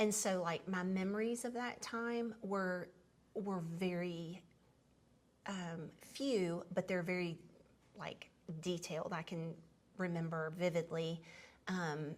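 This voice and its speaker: Speaking very slowly in a Southern US accent, a woman at a medium pitch shows ordinary pitch variation and pauses long and often. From US South, Tennessee (Memphis). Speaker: podcast host sharing life story. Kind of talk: personal storytelling conversation. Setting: seated at home dining table. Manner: conversational with frequent fillers and restarts.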